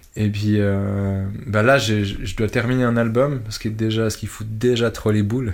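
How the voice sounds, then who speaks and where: A man speaks at a moderate pace with hardly any pauses, in a fairly low, monotone, flat voice. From Switzerland. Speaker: electronic musician. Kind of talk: interview. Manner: halting.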